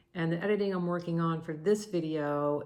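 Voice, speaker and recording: A woman with a very deep, low pitch talks in an American accent, and the room echo is audible. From US Mid-Atlantic, Maryland suburbs of DC. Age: 60s. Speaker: retired tax consultant turned YouTuber. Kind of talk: semi-scripted vlog talk to camera. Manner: halting, with fillers and restarts.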